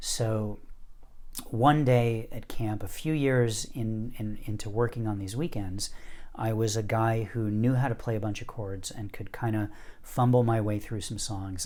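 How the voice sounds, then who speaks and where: There is audible room echo as a man with an American accent speaks at a medium pitch and a moderate pace, with ordinary pitch variation. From US Northeast. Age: 50s. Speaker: poet and music teacher. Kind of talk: interview storytelling.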